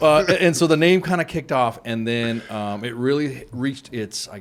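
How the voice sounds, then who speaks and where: Lively intonation in a man's medium-pitched voice. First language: not English. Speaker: retired army sergeant major. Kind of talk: casual chat. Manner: halting.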